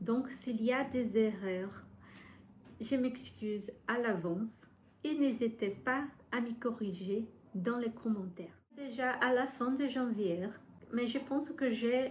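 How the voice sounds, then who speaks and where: A woman speaks with a Brazilian accent at a very slow pace. Her pitch is fairly high and varies in an ordinary way. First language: Portuguese (speaking French). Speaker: book vlogger. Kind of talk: casual vlog monologue. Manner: halting, frequent hesitations.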